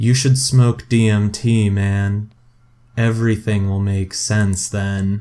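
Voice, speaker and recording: A man in a put-on character voice, fairly low in pitch, with fairly even intonation and a fairly slow pace. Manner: deadpan, horror-movie style.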